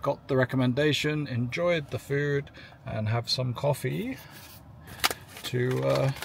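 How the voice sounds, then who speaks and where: A man speaks at a fairly slow pace with ordinary pitch variation, in a dry sound with no echo and noticeable background noise. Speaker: EV road trip vlogger. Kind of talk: casual vlog chat. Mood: relaxed, happy. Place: car.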